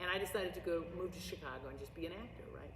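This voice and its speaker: Over noticeable background noise and audible room echo, a woman talks in an animated tone with a US Midwestern accent. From US Midwest, St. Louis Missouri. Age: 60s. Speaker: drama teacher and actress. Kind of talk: oral history interview. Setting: school auditorium. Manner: loud.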